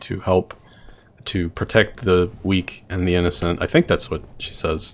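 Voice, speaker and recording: A man talks with a very deep, low pitch. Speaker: streamer. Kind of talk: gameplay commentary. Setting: live stream. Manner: casual, rambling.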